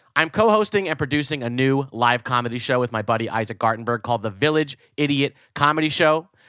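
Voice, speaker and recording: In a very clean recording with a silent background and a dry, close sound with no echo, a man with an American accent talks at a very fast pace with hardly any pauses, his medium-pitched voice animated, bright and sharp, with lively intonation. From New Jersey. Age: 30s. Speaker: podcast host and comedian. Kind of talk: casual chat.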